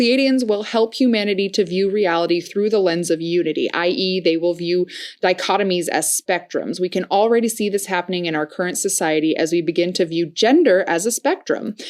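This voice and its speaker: A woman talks at a fairly quick pace with hardly any pauses. Her medium-pitched voice has ordinary pitch variation. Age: 20s. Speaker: spiritual podcast host. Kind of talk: reading aloud with casual commentary. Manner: animated, excitable.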